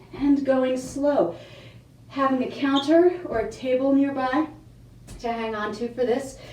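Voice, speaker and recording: A woman speaks with audible room echo. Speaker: fitness instructor. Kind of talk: tutorial.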